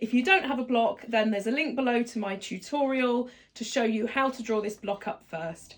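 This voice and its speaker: With lively intonation, a woman speaks at a moderate pace in a fairly high pitch. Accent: British. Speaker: sewing tutor. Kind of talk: tutorial.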